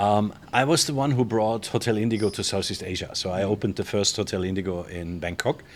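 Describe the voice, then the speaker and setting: With a German accent, a man talks very fast at a fairly low pitch, with ordinary pitch variation and hardly any pauses. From Germany. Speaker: hotel general manager. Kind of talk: interview. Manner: casual, with frequent fillers.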